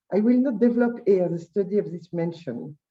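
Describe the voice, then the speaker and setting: A woman talks at a moderate pace and a medium pitch. Her voice is somewhat breathy, with lively intonation. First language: French. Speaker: historian. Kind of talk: conference talk. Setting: conference. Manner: halting.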